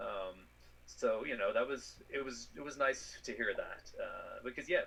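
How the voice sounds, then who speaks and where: A man with an Irish accent, at a fairly slow pace. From Ireland. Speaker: space scientist. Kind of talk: interview answer.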